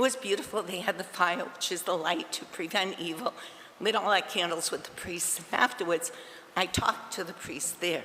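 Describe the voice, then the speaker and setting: A woman with a New England accent speaks at a fairly low pitch and a moderate pace. Her pitch varies in an ordinary way, with noticeable background noise. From Massachusetts. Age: 70s. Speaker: resident speaking at public comment. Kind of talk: public comment at town council meeting. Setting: council chambers. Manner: halting.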